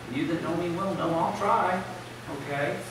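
In a room with strong echo and noticeable background noise, a man with an American accent speaks at a high pitch with ordinary pitch variation. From US South. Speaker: preacher. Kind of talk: sermon. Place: church.

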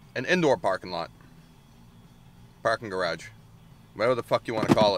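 A man talks in a dry sound with no echo. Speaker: drone hobbyist vlogger. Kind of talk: casual vlog chat. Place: car. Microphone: phone near.

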